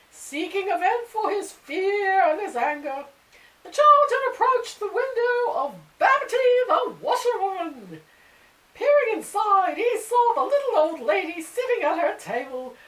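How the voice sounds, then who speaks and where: A squeaky, put-on character voice from a woman at an extremely high pitch, moderate in pace, with very wide pitch swings. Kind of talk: storybook reading. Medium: read story. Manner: measured, theatrical.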